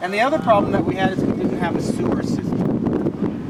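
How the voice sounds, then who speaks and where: A man speaks at a moderate pace over noticeable background noise, with audible room echo. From Oregon, US Pacific Northwest. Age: 80s+. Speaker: retired small-town mayor. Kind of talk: personal life story told to a small group.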